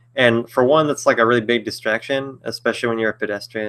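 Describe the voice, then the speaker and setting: A man's bright, sharp voice with fairly even intonation on a very clean recording with a silent background. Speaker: author answering viewer questions. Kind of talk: live stream Q&A. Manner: fast; hesitant, many fillers.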